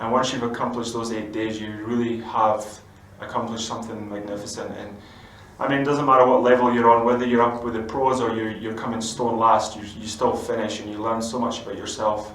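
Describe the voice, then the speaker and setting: A man with a Scottish accent talks at a fairly quick pace and medium pitch in a monotone, flat way, his loudness swinging widely, with audible room echo and noticeable background noise. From Scotland. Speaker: former footballer turned pro mountain biker. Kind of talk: interview.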